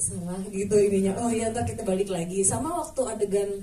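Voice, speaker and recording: A woman speaks at a fairly high pitch. Audible room echo and noticeable background noise surround her voice. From Java, Indonesia. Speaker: actor. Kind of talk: press conference Q&A.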